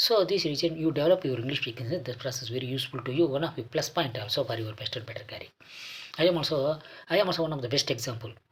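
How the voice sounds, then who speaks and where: Speaking at a very fast pace in a Kannada accent, a man uses a fairly high pitch. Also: ordinary pitch variation. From South India, Andhra Pradesh. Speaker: English speaking coach and cartoonist. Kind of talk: motivational talk. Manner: halting, with frequent fillers.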